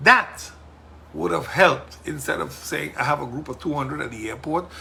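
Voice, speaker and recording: A man talks at a fairly quick pace in a bright, sharp tone. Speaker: politician and podcast host. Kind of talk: casual monologue podcast. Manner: loud; forceful.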